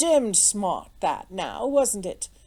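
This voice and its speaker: A woman drawls in a put-on character voice. Her intonation is lively. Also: fairly high pitch for a woman. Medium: read story. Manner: drawling, imperturbable.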